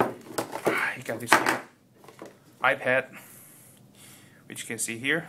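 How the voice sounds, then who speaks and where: This man is heard on a very clean recording against a silent background. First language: not English. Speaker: tech video creator. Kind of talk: unboxing tutorial. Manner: halting, with repeated words and fillers.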